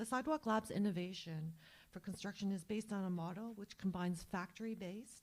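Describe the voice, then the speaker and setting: A woman talks at a fairly quick pace, somewhat breathy. Her tone is dark and mellow, at a medium pitch. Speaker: staff presenter at public consultation. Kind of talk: presentation. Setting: public consultation breakout room.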